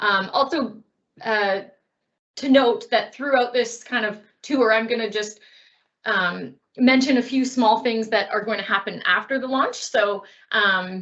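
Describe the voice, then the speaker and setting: A woman's fairly high voice, ordinarily varied in pitch, with long, frequent pauses. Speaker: website project presenter. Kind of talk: online presentation. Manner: fast.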